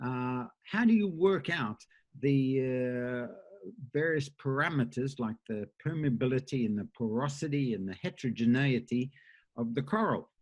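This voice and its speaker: This man speaks in an Australian accent at a fairly high pitch. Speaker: professor. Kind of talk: lecture. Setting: conference talk with slides. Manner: halting, many filler uhs.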